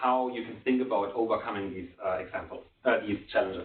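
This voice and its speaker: A man talks at a fairly quick pace and medium pitch. There is noticeable background noise. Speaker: development economist presenting a book. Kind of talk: conference presentation. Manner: fast.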